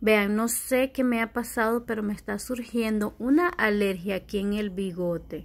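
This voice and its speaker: A woman's speech has ordinary pitch variation and a moderate pace. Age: 30s. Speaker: vlogger. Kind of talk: casual vlog talking to camera. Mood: annoyed, complaining. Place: home room. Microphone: phone near.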